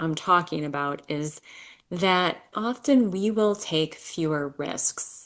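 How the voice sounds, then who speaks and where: A woman at a very slow pace with ordinary pitch variation, against a quiet background. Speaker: wellness video creator. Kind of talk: casual talk to camera. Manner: conversational, rambling aside.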